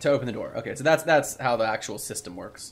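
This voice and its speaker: This man has a fairly high pitch. He talks at a very fast pace. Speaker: gaming streamer. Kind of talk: let's play commentary. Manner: casual, laughs often.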